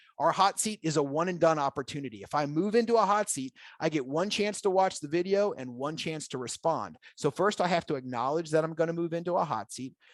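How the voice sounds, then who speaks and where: Pitched fairly high, a man talks at a fairly quick pace with lively intonation and hardly any pauses. The sound is dry and close with no echo, over a quiet background. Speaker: software presenter. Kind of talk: product demo presentation. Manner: fast.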